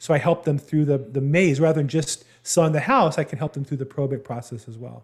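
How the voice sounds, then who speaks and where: An American accent marks this man's fairly high, somewhat breathy voice, which moves at a fairly quick pace with ordinary pitch variation and big swings in loudness. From Southern California. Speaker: real estate agent. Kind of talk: interview.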